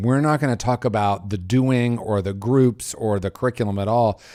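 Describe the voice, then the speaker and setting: On a very clean recording with a silent background, a man speaks at a medium pitch in a dark, mellow tone. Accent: American. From US Midwest, Indiana. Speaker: recovery specialist and minister. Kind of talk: casual chat.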